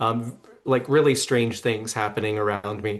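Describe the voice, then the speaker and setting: The speaker is a man with a medium-pitched voice. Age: 60s. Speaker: psychic medium. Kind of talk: interview. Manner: halting, many fillers.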